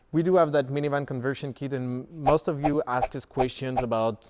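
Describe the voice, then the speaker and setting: Speaking at a fairly quick pace, a man with a strong French accent has a medium pitch and ordinary pitch variation. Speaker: company founder. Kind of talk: product tour. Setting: showroom. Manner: casual, with filler words.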